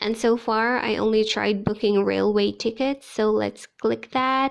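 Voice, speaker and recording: A woman with a Filipino accent speaks at a very slow pace and a fairly high pitch. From Philippines, Ilocano-speaking region. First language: Ilocano. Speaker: teacher and vlogger. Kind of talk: vlog tutorial.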